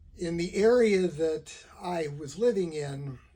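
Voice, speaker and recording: A man speaks with a dark, mellow tone. His voice is somewhat breathy. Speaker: lawyer who stutters, talking about stuttering. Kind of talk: casual talk to camera. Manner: stutters, with repetitions and fillers; deliberately slow speech.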